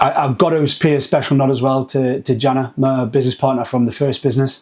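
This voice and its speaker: With a Geordie accent, a man speaks fairly quickly at a medium pitch over noticeable background noise. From northern England, Newcastle. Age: 40s. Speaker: agency founder. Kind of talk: podcast interview.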